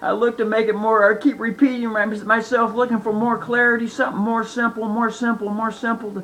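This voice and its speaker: Shouting with hardly any pauses, a man at an extremely high pitch keeps a monotone, flat intonation over noticeable background noise. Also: fairly quick pace. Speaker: online video lecturer on legal theories. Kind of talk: monologue lesson. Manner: passionate, yelling; repetitive, halting.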